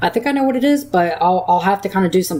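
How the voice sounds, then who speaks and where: A woman's fairly low voice at a very fast pace, with very wide pitch swings and noticeable background noise. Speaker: weather livestreamer. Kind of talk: live Q&A stream. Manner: halting. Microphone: mic cutting out at times.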